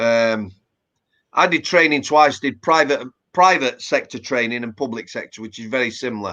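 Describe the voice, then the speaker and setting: A man with a Yorkshire accent and a bright, sharp tone, at a moderate pace. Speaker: former prison officer. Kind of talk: casual interview chat. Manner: conversational with hesitations.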